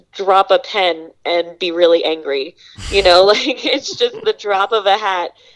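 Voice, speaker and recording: Speaking fairly slowly, a woman uses a medium pitch with ordinary pitch variation in an unremarkable speaking voice. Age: 20s. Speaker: former volunteer. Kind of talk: interview.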